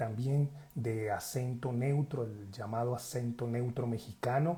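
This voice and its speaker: A man speaks at a fairly slow pace with a medium pitch and fairly even intonation. His tone is dark and mellow, and somewhat breathy. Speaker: acting school director. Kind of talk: interview host introduction.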